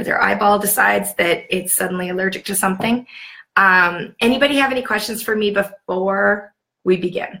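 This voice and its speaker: A woman with a Canadian accent speaks at a fairly quick pace in a medium pitch, with ordinary pitch variation. Her tone is bright and sharp, with some vocal fry. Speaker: sales team leader training new consultants. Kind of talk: livestream training session. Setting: live video stream. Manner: casual, chatty.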